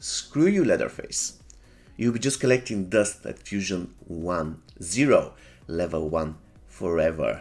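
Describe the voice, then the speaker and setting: Music plays in the background as a man speaks. His voice is fairly low, and his pace is fairly slow. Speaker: gaming youtuber. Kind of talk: gameplay commentary. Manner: casual, hesitant.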